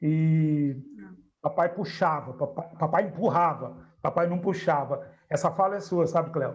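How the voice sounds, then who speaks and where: A man talks in a high pitch, his intonation fairly even. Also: fairly slow pace. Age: 60s. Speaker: spiritist study group leader. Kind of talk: group discussion.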